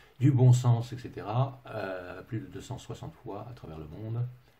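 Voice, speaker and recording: A somewhat breathy man's voice with a dark, mellow tone, a fairly slow pace and audible room echo. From England. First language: English (speaking French). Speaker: management consultant. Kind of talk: webinar presentation. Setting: online webinar from home. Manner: hesitant, many fillers.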